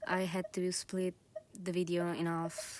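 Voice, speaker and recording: A woman speaks very slowly at a medium pitch. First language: Italian. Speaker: gaming youtuber. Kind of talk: casual gameplay commentary. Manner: hesitant, many fillers.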